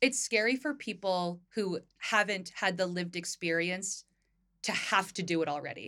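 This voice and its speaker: A woman with an American accent, bright and sharp in tone, medium in pitch with ordinary variation, on a very clean recording with a silent background. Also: moderate pace. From US Northeast, northern New Jersey. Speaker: podcast co-host, equity consultant. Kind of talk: casual chat.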